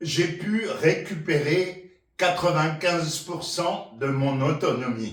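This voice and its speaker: Hardly pausing at all, a man speaks at a very slow pace. His voice is high-pitched, with ordinary pitch variation. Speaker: senior chair exercise instructor. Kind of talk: personal testimony.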